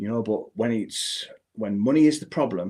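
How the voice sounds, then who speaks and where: The man's voice has a dark, mellow tone and sits at a medium pitch. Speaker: personal finance app founder and livestream host. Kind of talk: live unscripted software walkthrough. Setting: live stream at desk with camera and screens. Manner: fast.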